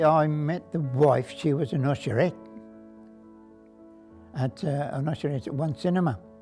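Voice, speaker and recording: With music in the background, the speaker goes at a moderate pace with ordinary pitch variation and long, frequent pauses. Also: man, fairly high pitch for a man. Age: 80s+. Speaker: cinema projectionist. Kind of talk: interview answer. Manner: casual, conversational.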